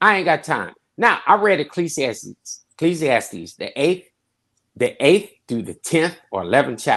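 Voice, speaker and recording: A man's high pitch and animated tone against a quiet background. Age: 50s. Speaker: pastor. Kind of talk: panel discussion. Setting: podcast.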